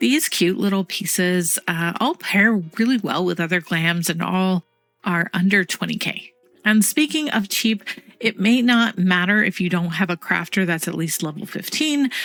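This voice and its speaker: Lively intonation from a medium-pitched woman at a moderate pace, with music in the background. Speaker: gaming content creator. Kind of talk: casual talk to camera.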